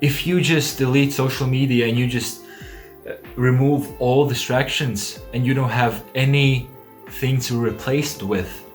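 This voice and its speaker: Over music in the background, a man at medium pitch speaks at a fairly slow pace. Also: fairly even intonation. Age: young. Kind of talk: casual talk to camera.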